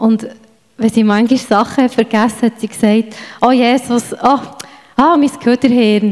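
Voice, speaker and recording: A woman's high-pitched voice at a moderate pace, fairly even in intonation, over noticeable background noise. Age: 40s. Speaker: church member. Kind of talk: testimony.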